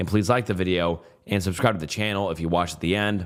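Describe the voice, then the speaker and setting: A man's very deep, low voice at a very fast pace. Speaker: YouTube narrator of Reddit stories. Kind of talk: casual outro chat. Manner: casual, filler-heavy.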